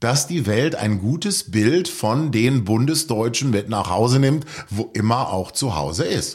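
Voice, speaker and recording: A man of medium pitch speaks somewhat breathily at a fairly slow pace with lively intonation, on a very clean recording with a silent background. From Lower Rhine, Germany. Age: 50s. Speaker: author. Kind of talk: radio interview. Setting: studio.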